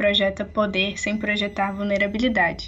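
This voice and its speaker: Over noticeable background noise, a woman talks at a moderate pace and medium pitch in a monotone, flat intonation. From Minas Gerais, Brazil (Barbacena). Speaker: sociologist and graduate researcher. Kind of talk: podcast interview. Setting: remote recording from home.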